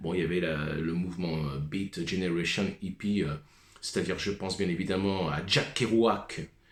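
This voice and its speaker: This man's voice is very deep and low, delivered at a moderate pace with fairly even intonation. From Paris suburbs, France (Seine-Saint-Denis). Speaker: musician vlogger. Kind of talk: rant monologue.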